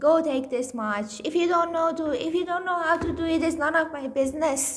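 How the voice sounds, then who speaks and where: With noticeable background noise behind her, a woman speaks at a fairly quick pace. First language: Farsi. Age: 30s. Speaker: vlogger sharing weight loss journey. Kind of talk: casual vlog monologue.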